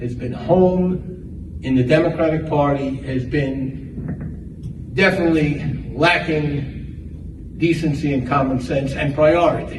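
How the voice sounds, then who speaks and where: The speaker has a New York accent and talks at a very slow pace with ordinary pitch variation. Audible room echo and noticeable background noise fill the recording. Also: man. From New York, the Bronx. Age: old. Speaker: political candidate. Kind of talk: campaign speech. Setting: club meeting with audience.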